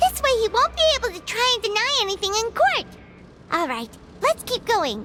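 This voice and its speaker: Over loud music in the background, a put-on character voice speaks at an extremely high pitch. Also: moderate pace. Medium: video game. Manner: earnest, reactive.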